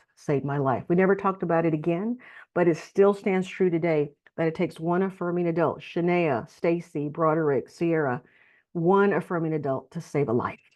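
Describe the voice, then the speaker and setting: With an unremarkable speaking voice, a woman talks fairly quickly at a fairly low pitch with ordinary pitch variation. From Texas. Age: 60s. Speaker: nonprofit leader. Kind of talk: testimony.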